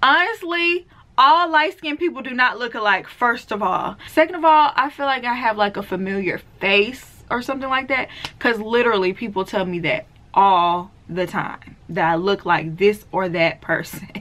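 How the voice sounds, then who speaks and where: Fairly high in pitch with very wide pitch swings, a woman talks in a bright, sharp tone with a Southern accent. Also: moderate pace. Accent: Southern, sounds country. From US South, deep south Mississippi. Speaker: beauty and natural hair vlogger. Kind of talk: casual Q&A vlog.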